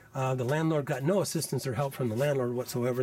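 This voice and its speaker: Someone with an American accent speaks at a fairly quick pace in a somewhat breathy voice. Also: man. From US Midwest, Iowa farming community. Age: 60s. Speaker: tenant documenting housing conditions. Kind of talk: video walkthrough, self-recorded documentation. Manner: halting, many fillers and restarts.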